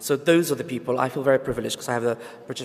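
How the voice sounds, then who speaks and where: A man rattles along at a very fast pace, with noticeable background noise behind him. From Somalia. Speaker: freelance journalist. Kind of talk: panel discussion.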